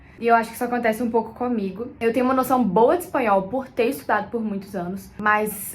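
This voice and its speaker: Audible room echo surrounds a woman's high-pitched voice as she talks fairly quickly with ordinary pitch variation. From Brazil. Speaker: content creator. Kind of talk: casual vlog talk.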